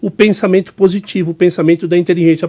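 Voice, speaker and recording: The recording is dry and close with no echo as a man with a high-pitched voice talks at a very fast pace. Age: 60s. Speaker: business mentor and speaker. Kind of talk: podcast interview.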